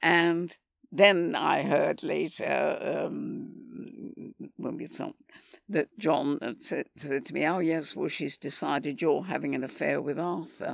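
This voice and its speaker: Very slowly, a woman speaks in a very clean recording with a silent background. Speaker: film continuity supervisor. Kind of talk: casual interview.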